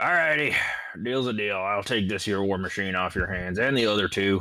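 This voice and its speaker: A man's put-on character voice, raspy and fairly low, at a fairly quick pace over light background noise. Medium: actual play. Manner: casual, profane, pushy.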